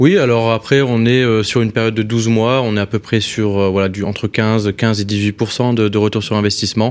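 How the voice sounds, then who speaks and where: This man's medium-pitched voice holds a monotone, flat intonation and very even loudness at a moderate pace, with hardly any pauses. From northern France. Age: 30s. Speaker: entrepreneur. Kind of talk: interview.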